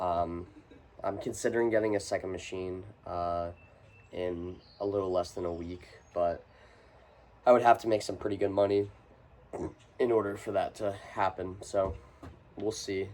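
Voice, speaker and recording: Speaking at a moderate pace with long, frequent pauses, a man has a fairly low pitch and a monotone, flat intonation. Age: 20s. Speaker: young business owner and student vlogger. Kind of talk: casual vlog monologue. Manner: casual, filler-heavy.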